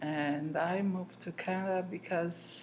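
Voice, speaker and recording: A woman speaks with ordinary pitch variation. Her pitch is fairly low. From southern Italy. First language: Italian. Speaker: grandmother interviewed. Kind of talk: interview.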